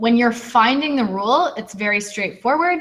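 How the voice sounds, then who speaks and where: A woman speaks at a fairly high pitch, with audible room echo. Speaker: teacher. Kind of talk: lecture. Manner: fast.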